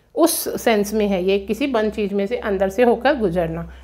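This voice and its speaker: Ordinary pitch variation from a woman speaking at a moderate pace. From India. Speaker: English teacher. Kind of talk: lecture. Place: classroom. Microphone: camera far.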